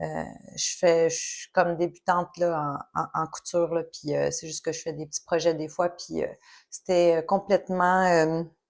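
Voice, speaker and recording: Over a silent background in a very clean recording, a woman speaks with a fairly low pitch and flat, monotone intonation. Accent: Quebec. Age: 40s. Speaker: knitting podcaster. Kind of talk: casual vlog monologue. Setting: home recording, sun in her eyes. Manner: hesitant, many fillers.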